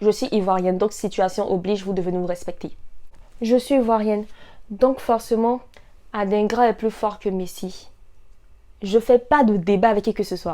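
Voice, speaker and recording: Her tone is dark and mellow as the woman talks at a fairly slow pace. She leaves long, frequent pauses. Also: fairly high pitch for a woman, fairly even intonation, very clean recording, silent background. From Ivory Coast. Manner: proud, emphatic.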